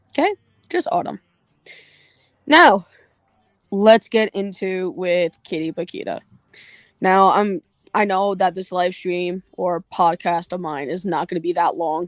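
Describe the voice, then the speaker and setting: Delivery is fairly slow, with long, frequent pauses. The sound is dry and close, with no echo. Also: woman, medium pitch for a woman. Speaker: online commentator. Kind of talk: livestream rant. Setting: livestream. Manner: monotone.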